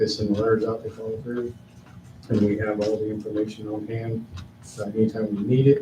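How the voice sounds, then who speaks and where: The voice is dark, mellow and somewhat breathy, moving at a fairly quick pace. Its intonation is monotone and flat, with audible room echo. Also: man. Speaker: town staff member. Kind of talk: council meeting report.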